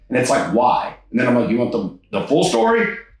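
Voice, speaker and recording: With audible room echo and noticeable background noise, a man in an American accent swings his pitch very widely. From Texas, Houston area (Katy). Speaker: stand-up comedian. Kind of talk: interview conversation.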